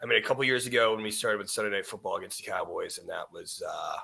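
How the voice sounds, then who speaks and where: A man talks at a very fast pace. His loudness swings a lot. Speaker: sports podcast host. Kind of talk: casual sports chat. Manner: loud, high-energy.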